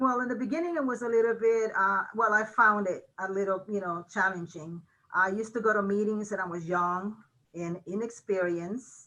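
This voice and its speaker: This woman has a medium pitch and a bright, sharp tone. She speaks with a Mexican accent. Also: ordinary pitch variation, moderate pace. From Mexico. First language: Spanish. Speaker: college registrar. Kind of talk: interview. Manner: many fillers, hesitant.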